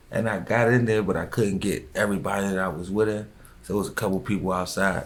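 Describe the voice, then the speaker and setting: Talking at a very fast pace, a man shows ordinary pitch variation around a fairly low pitch. Room echo is audible. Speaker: rapper. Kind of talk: interview.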